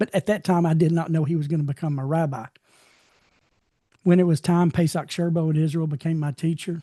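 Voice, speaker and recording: A man with a fairly high pitch and a dark, mellow tone speaks at a fairly quick pace, yet with long, frequent pauses. His intonation is fairly even, and the sound is dry and close with no echo. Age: 60s. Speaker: bible study teacher. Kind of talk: online bible study class. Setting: video call. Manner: casual, repetitive with stammered restarts.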